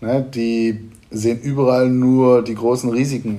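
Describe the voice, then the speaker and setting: This man has a medium pitch and a dark, mellow tone. His intonation stays flat and monotone. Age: 40s. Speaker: event venue owner and business coach. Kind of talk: interview. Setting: event venue.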